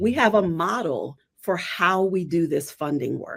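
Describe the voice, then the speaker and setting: A woman's voice with vocal fry, on a very clean recording with a silent background. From Trinidad and Tobago. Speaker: social justice consultant. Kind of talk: interview answer.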